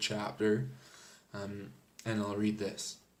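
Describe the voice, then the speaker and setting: A man with a fairly low pitch is heard with audible room echo. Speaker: book reviewer. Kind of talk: casual book review. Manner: hesitant, many fillers.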